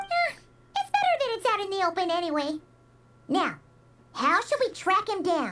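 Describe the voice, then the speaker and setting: A put-on character voice sits at an extremely high pitch. It moves at a moderate pace with long, frequent pauses. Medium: video game. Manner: excited, chatty.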